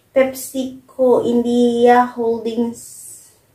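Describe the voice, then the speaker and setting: Audible room echo surrounds a woman's high-pitched voice, delivered in a flat monotone. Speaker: food vlogger. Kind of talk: casual vlog chat. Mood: playful, unsure of names. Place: home room. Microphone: camera far.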